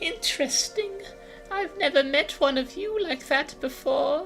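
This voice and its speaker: A put-on character voice, guttural and delivered at a fairly slow pace, comes over clear music in the background. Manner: menacing, dismissive.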